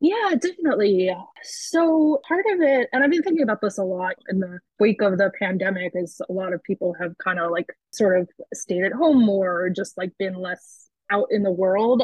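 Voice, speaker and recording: With an American accent, a woman uses lively intonation at a moderate pace, her medium pitch carried by an unremarkable speaking voice. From US East Coast, Baltimore suburbs. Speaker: writer and zine publisher. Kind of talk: interview.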